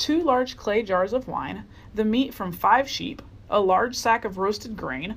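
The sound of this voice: Pitch variation here is ordinary. The delivery is an unforced reading voice.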